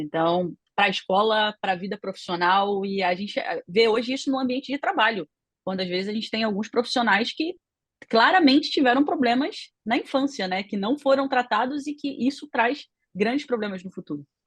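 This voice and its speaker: A woman's fairly high, somewhat breathy voice with a Rio de Janeiro accent and lively intonation, dry and close with no echo. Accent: carioca. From Rio de Janeiro, Brazil. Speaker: panel commentator. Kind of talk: radio panel debate.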